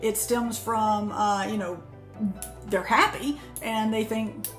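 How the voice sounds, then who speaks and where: Delivered at a fairly slow pace, the speech carries audible room echo with faint music in the background. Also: woman. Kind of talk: casual educational talk. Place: office. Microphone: phone near.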